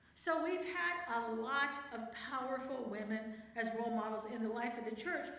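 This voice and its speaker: In a room with audible echo, a woman with a high pitch and an animated tone speaks fairly slowly, her pitch varying in an ordinary way. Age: 60s. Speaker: church speaker, priest's wife and theologian. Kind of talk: talk to a church women's group. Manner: conversational, animated.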